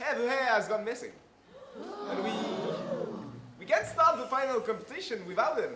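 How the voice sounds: A man in a put-on character voice uses an extremely high pitch, a bright, sharp tone and lively intonation at a moderate pace, with strong room echo.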